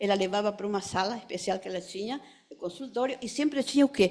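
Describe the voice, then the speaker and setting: With a dark, mellow tone, a woman talks at a fairly quick pace. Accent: non-native. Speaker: psychoanalyst. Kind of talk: memorial tribute speech.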